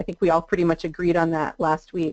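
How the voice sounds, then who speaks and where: Recorded with a dry, close sound and no echo, a woman talks at a fairly quick pace in a dark, mellow tone. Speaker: adult education trainer. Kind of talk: webinar presentation. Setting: online webinar. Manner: fast.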